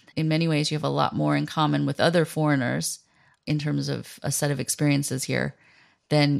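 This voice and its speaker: A woman speaks in an American accent. The recording is very clean, with a silent background. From US. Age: 40s. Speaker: journalist. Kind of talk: interview.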